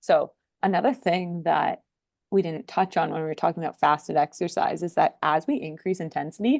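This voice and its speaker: Over a quiet background, a woman with a fairly low pitch speaks at a fairly quick pace in a dry, close sound with no echo. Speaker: PhD researcher. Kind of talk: podcast interview.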